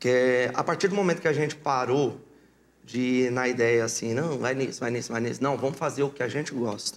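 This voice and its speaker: A man speaks in an unremarkable speaking voice at medium pitch. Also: ordinary pitch variation, fairly quick pace. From Mato Grosso, Brazil (born in Paraná). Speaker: sertanejo singer. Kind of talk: casual interview.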